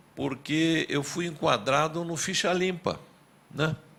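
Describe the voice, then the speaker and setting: This man has a medium pitch. He talks at a fairly slow pace. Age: 70s. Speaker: former mayor and politician. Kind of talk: testimony at public hearing. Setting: public hearing.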